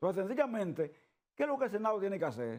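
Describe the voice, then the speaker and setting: A man with a high pitch and very wide pitch swings. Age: 70s. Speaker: trade union leader. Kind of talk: TV interview. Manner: repetitive, emphatic.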